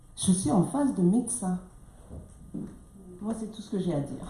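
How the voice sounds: Amid audible room echo, a woman with a dark, mellow tone speaks with big pitch swings. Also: medium pitch for a woman, moderate pace.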